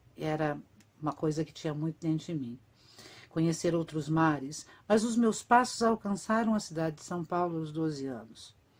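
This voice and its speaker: A woman with an ordinary speaking voice, fairly low in pitch and lively in intonation, talks at a moderate pace on a very clean recording with a silent background. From Brazil, Curitiba (Paraná). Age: 50s. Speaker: actress and writer. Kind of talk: autobiographical reading of a written text.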